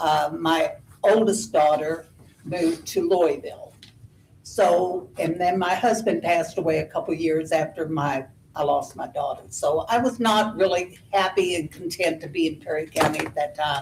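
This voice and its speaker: A woman with an American accent speaks at a fairly low pitch with ordinary pitch variation. Her voice is somewhat breathy. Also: moderate pace. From southern Indiana. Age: 80s+. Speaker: resident giving public comment. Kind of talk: public comment at a government meeting. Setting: county meeting room, at a podium.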